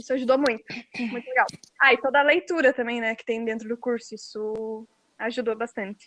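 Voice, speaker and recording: A woman speaks in a high pitch, with a dry, close sound that has no echo. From Brazil, interior of Rio Grande do Sul. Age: 20s. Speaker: fanfic author, English teacher. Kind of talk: interview.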